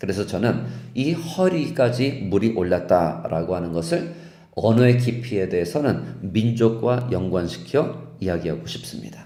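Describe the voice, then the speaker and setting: Over noticeable background noise and audible room echo, a man speaks at a medium pitch with very wide pitch swings. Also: fairly slow pace. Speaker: pastor. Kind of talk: sermon.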